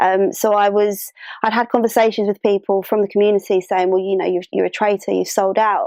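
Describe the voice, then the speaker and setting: A medium-pitched woman's voice with a London accent, fairly quick and fairly even in intonation, at very even loudness, with a dry, close sound and no echo. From London, England. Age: 30s. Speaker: interviewee sharing identity story. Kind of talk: personal testimony. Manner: hesitant, many fillers.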